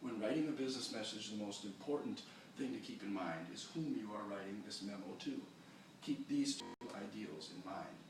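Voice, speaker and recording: Moderate speed from a male speaker, over noticeable background noise. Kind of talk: class presentation on business writing. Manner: quiet.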